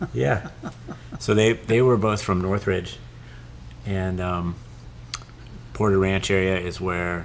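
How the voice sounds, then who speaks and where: A man speaks with a very deep, low pitch and ordinary pitch variation. Audible room echo and noticeable background noise are present. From Southern California. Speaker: lens company host. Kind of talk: interview.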